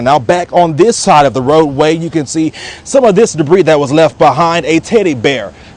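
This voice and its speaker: A man talks at a fairly quick pace as noticeable background noise continues. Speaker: news reporter. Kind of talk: live TV news reporting.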